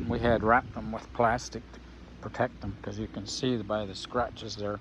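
Light background noise accompanies a man with vocal fry and an American accent speaking at a moderate pace. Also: dry sound with no echo. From United States. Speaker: vlogger. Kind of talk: casual vlog narration. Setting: outdoors. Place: garden. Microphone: phone near.

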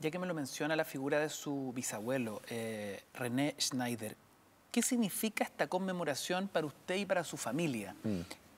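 A man with a Chilean accent, fairly high-pitched, with very wide pitch swings at a moderate pace and light background noise. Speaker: radio host. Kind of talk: political interview. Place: studio.

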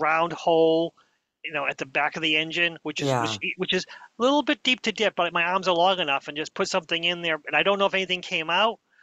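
Very fast, high-pitched speech from a man with ordinary pitch variation, in a dry sound with no echo and a quiet background. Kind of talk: casual conversation. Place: home room. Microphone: headset.

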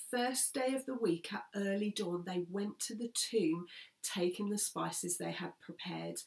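Against a quiet background, a woman speaks at a fairly slow pace with ordinary pitch variation. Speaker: speaker. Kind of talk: scripture reading and sermon talk. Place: home room. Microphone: phone near.

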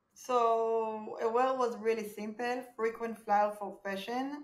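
A woman with an Israeli accent, with audible room echo. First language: Hebrew. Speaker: startup founder. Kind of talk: interview. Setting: video call. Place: home room.

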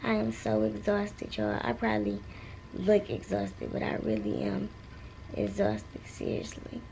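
A woman with a very deep, low pitch speaks in a weary tone over light background noise. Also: moderate pace. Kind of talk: casual vlog chat. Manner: weary, low, exhausted postpartum voice. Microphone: phone near.

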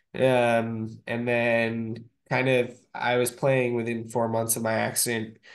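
A man speaks at a very slow pace. His intonation is monotone and flat. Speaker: wheelchair rugby player. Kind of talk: casual video-call discussion. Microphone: video call.

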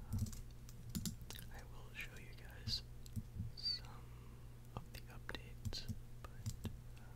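Speech comes at a very slow pace with long, frequent pauses, sounding dry with no echo over loud background noise. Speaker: ASMR gaming creator. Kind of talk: whispered gameplay commentary.

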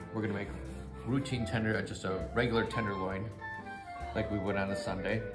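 A man talks at a very fast pace with ordinary pitch variation. Clear music plays in the background. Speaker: home cook host. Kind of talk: casual cooking tutorial chat. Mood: playful, upbeat. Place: kitchen. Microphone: phone near.

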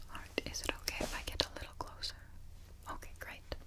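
Whispering, a woman speaks at a fairly quick pace. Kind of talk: ASMR role-play, soft-spoken. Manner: soft, intimate quiet voice. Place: home room.

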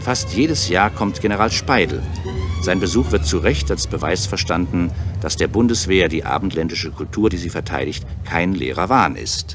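A man's very deep, low voice at a moderate pace, ordinary pitch variation, and music in the background. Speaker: radio documentary narrator. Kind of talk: radio documentary narration, ironic commentary. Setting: vintage 1962 radio broadcast recording.

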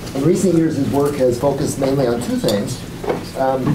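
Talking at a very fast pace through noticeable background noise, a man uses ordinary pitch variation. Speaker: seminar moderator. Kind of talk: speaker introduction. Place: meeting room. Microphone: camera far.

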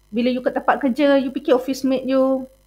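A woman's high-pitched, dark, mellow voice with monotone, flat intonation at a moderate pace, on a very clean recording with a silent background. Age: 40s. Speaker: university lecturer. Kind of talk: lecture. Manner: code-switching Malay and English, many fillers.

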